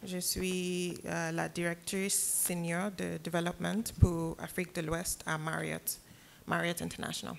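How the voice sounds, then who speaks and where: A woman with an English accent speaks at a very slow pace. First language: English (speaking French). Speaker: hotel development executive. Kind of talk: panel discussion. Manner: halting.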